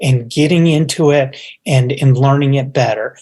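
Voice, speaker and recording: A man with an American accent, a somewhat breathy voice and a moderate pace. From Upstate New York. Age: 60s. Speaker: business executive. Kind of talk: interview. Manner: halting.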